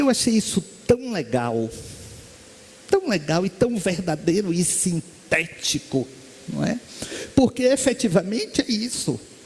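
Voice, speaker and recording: Over noticeable background noise, a man with a high pitch talks at a fairly slow pace, his very wide pitch swings separated by long, frequent pauses. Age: 60s. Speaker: spiritist lecturer and medium. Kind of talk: spiritist lecture.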